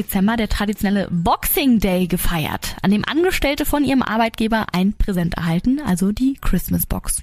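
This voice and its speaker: A woman with a fairly high pitch talks at a moderate pace amid noticeable background noise. Her tone is animated and her intonation lively. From Germany. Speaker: podcast host. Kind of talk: casual chat; reading aloud.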